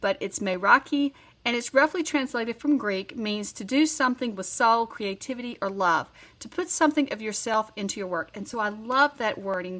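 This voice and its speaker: In a very clean recording against a silent background, a woman with a Southern US accent and a fairly high pitch speaks at a moderate pace, her bright, sharp tone carrying lively intonation and big swings in loudness. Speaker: card-making crafter. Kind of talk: tutorial. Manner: casual, conversational.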